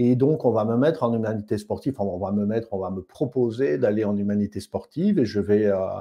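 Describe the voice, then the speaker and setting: A man speaks at a medium pitch in a Belgian accent. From Belgium (Namur area). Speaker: osteopath. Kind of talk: testimony.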